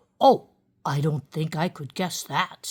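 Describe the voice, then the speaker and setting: A put-on character voice at a middle pitch speaks at a fairly slow pace. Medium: read story. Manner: warm, gentle.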